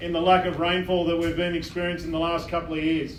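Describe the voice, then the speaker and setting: A man with an Australian accent at a fairly quick pace, with audible room echo and noticeable background noise. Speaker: fire incident controller. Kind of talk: community briefing. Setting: public meeting with audience, PA. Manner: formal, halting with fillers.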